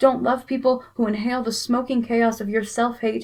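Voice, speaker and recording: In a plain, everyday voice, a woman talks at a moderate pace in a fairly high pitch with ordinary pitch variation. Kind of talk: spoken word poetry performance.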